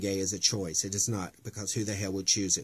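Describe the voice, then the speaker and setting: A somewhat breathy man with an American accent on a very clean recording with a silent background. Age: 40s. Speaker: drag queen and activist vlogger. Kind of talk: emotional personal testimony. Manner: impassioned, halting with fillers.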